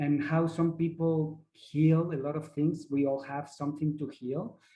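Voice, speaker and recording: A man speaks in a non-native accent at a fairly slow pace. His voice is fairly high and somewhat breathy. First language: not English. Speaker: ayahuasca facilitator. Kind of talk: workshop presentation. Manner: halting, searching for words.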